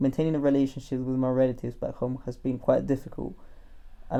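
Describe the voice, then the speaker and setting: A man talks at a very fast pace in a dark, mellow tone. His intonation is monotone and flat. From Colombia. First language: Spanish. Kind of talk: personal narration. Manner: reflective.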